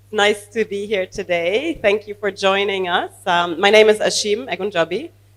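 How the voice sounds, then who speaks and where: Speaking at a moderate pace with hardly any pauses, a woman uses a medium pitch, ordinary pitch variation and big swings in loudness. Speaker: venture capital investor. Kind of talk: panel discussion.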